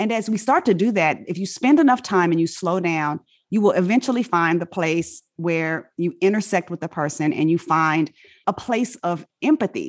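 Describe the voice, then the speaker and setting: A woman's ordinary speaking voice with an American accent, medium in pitch, at a moderate pace with lively intonation and a dry, close sound with no echo. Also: very clean recording, silent background. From Inglewood, California. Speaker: physician. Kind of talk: interview.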